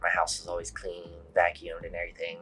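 Words come out at a very fast pace. The accent is American. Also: man. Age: 30s. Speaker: police sergeant. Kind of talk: interview. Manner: halting, many fillers.

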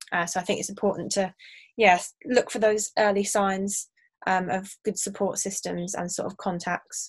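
With an English accent, a woman speaks at a moderate pace and a medium pitch, somewhat breathy and with monotone, flat intonation. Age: 20s. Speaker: university student. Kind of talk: interview.

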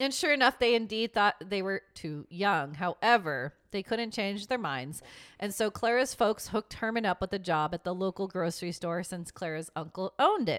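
On a very clean recording with a silent background, a woman with an unremarkable speaking voice talks at a moderate pace in a medium pitch with lively intonation, the sound dry and close with no echo. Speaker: podcast host. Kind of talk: casual chat and storytelling.

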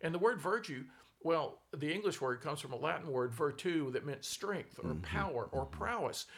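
Lively intonation carries this man's fairly high voice, which has vocal fry and a moderate pace. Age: 70s. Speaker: philosopher and author. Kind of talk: casual conversation.

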